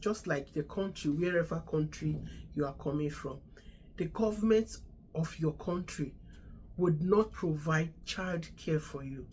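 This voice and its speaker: A woman speaks at a fairly slow pace with vocal fry, her pitch very deep and low, its variation ordinary. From Nigeria. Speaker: immigration advice vlogger, registered nurse. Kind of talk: casual advice talk.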